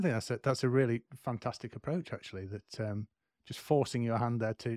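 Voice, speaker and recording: Very fast speech with a British accent, dry and close with no echo, in a very clean recording against a silent background. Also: man. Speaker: podcast host. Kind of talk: interview, casual chat.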